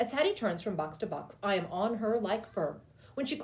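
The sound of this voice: Lively intonation marks an unforced reading voice.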